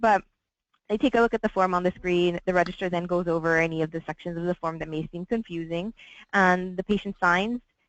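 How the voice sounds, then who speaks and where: Pitched fairly low, a woman talks at a fairly quick pace with fairly even intonation, and the sound is dry and close with no echo. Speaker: hospital administrator. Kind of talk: webinar interview. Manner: fast.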